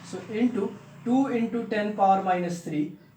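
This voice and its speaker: A man's voice comes through with noticeable background noise and audible room echo. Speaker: physics tutor. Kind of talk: tutorial. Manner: fast; halting, many fillers.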